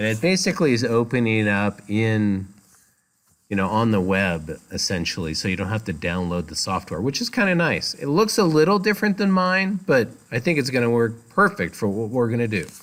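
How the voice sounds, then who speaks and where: Very wide pitch swings at a fairly quick pace, loud, on a very clean recording with a silent background. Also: man, medium pitch for a man. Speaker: college instructor. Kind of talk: lecture. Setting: classroom.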